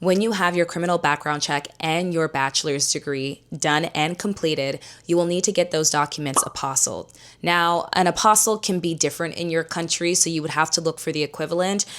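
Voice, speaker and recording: On a very clean recording with a silent background, a woman with a plain, everyday voice speaks at a fairly quick pace, fairly low in pitch, with fairly even intonation. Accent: Canadian. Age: 20s. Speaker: YouTuber. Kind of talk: tutorial. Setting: at home on the couch. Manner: casual, conversational.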